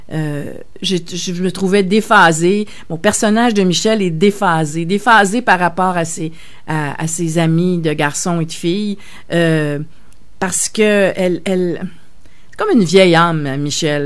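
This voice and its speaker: This woman's pitch is fairly low, with ordinary variation. She speaks at a fairly slow pace. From Quebec, Verdun (Montreal). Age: 60s. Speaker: novelist. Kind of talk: radio interview. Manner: halting, many hesitations.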